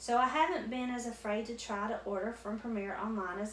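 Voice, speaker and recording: There is audible room echo and noticeable background noise. A woman with a Southwest Virginia accent speaks fairly quickly at a fairly high pitch. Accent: Southwest Virginia country. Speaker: crochet YouTuber. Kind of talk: casual unboxing chat.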